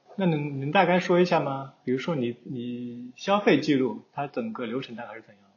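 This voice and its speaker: At a moderate pace, a man speaks somewhat breathily, with fairly high pitch and lively intonation. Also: hardly any pauses, big swings in loudness. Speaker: podcast host. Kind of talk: casual interview chat.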